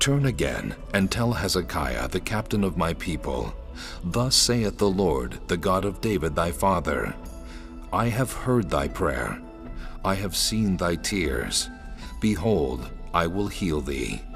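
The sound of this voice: A man's put-on character voice, low-pitched with vocal fry and big pitch swings, delivered at a slow pace over clear music in the background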